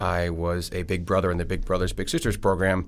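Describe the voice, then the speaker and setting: This is a man talking. He has an Upper Midwest accent. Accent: Upper Midwest American. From Wisconsin. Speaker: state senator and candidate. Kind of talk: casual interview.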